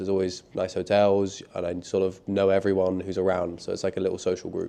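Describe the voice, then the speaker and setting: Talking at a very fast pace, a man with a London accent has a fairly low pitch and a dark, mellow tone. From London, England. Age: 20s. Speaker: professional tennis player. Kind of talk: interview.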